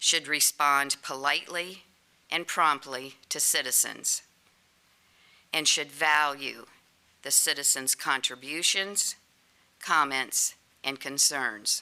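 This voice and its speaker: The tone is bright and sharp, with fairly even intonation. The pace is very slow, marked by long, frequent pauses. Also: woman, very deep, low pitch for a woman. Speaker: citizen speaking at council meeting. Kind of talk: reading a prepared statement. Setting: council chambers. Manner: formal.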